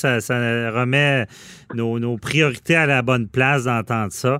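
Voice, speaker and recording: A man speaks at a medium pitch with ordinary pitch variation. His pace is very slow. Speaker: radio host, lawyer. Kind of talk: casual interview. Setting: studio.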